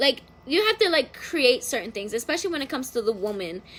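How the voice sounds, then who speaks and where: This animated voice is raised and projected, with a bright, sharp tone and very wide pitch swings. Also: woman. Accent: American. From Philadelphia and Florida, US. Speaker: tarot reader. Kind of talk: casual livestream tarot reading. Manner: animated, filler-heavy casual talk.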